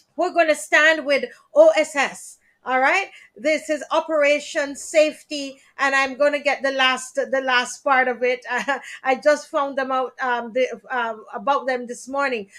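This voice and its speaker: In a very clean recording with a silent background, a woman with a Jamaican accent speaks at a fairly slow pace. Her high pitch carries fairly even intonation. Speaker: talk show host. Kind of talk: live stream talk show. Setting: live stream.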